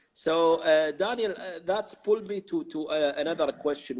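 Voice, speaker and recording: A man with an Arabic accent speaks at a fairly high pitch. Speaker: interviewer and translator. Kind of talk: interview. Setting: live video stream.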